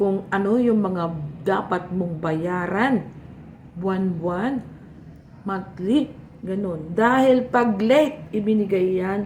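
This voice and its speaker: A somewhat breathy voice at a very slow pace, with ordinary pitch variation and audible room echo. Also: woman. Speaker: vlogger. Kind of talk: casual tutorial vlog while eating.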